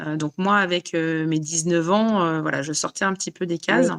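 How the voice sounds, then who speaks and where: A woman's fairly low voice carries ordinary pitch variation and holds a moderate pace. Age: 40s. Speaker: life coach for autoimmune illness. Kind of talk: interview. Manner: halting, many fillers.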